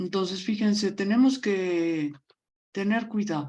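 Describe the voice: A woman speaks at a slow pace with a medium pitch. Her tone is dark and mellow, with ordinary pitch variation.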